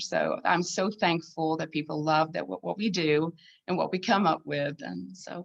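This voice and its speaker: With a Swedish accent, a woman speaks in a fairly low voice with vocal fry and ordinary pitch variation. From southern Sweden. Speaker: needlepoint designer and artist. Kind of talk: casual interview chat.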